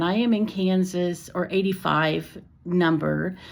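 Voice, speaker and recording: On a very clean recording with a silent background, a woman talks very slowly at a medium pitch. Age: 60s. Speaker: retired teacher. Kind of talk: personal vlog talk. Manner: casual, with fillers and self-corrections.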